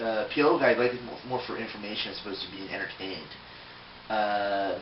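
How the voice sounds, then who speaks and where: Recorded with audible room echo and noticeable background noise, a man with an American accent talks at a medium pitch. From US, Philadelphia, Pennsylvania. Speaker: toy collector video blogger. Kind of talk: casual vlog answering questionnaire. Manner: hesitant, many fillers.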